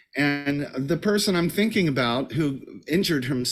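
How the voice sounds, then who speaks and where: Music plays in the background as a man with an American accent speaks at a moderate pace. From United States. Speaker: Broadway performer and voice teacher. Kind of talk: interview.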